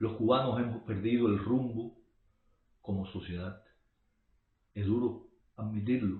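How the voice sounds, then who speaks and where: With long, frequent pauses, a man talks at a fairly slow pace in a medium pitch and a monotone, flat intonation. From Cuba. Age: 60s. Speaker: political commentator. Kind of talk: monologue.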